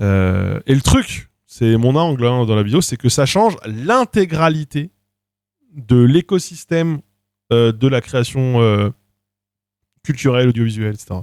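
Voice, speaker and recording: An animated-sounding man talks at a fairly slow pace and medium pitch, using lively intonation and long, frequent pauses. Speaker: video creator live streaming. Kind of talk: casual livestream chat.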